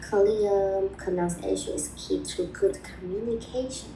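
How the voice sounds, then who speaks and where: Very slowly and with a Chinese accent, a woman speaks amid noticeable background noise and audible room echo. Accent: Mandarin-accented English. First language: Mandarin. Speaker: video blogger on language learning. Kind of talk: personal advice talk. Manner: halting.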